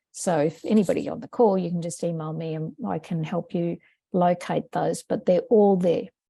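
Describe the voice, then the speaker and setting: A woman with an Australian accent speaks at a moderate pace with ordinary pitch variation. Her tone is dark and mellow, and the sound is dry and close with no echo. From Australia, Brisbane. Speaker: education researcher and former maths teacher. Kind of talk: webinar presentation Q&A. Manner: casual, conversational.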